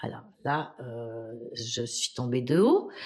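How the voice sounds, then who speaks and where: Very slowly, a woman speaks. Her pitch swings very widely. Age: 60s. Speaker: historian and women's rights activist. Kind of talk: interview testimony. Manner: halting, many hesitations.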